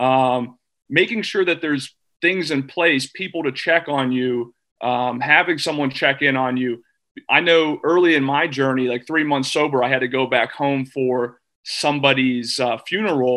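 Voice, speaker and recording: With a General American accent, a man talks at a moderate pace in a fairly high pitch, showing a bright, sharp tone and ordinary pitch variation over a quiet background. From US Midwest. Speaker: former athlete and recovery advocate; guest. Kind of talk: panel discussion; panel discussion answer. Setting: video call. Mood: earnest, personal. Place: home room. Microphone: video call.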